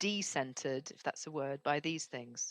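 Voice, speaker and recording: A woman in a British accent talks fairly slowly with ordinary pitch variation and a dry, close sound with no echo. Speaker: speaker coach and author. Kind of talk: podcast interview. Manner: calm pace.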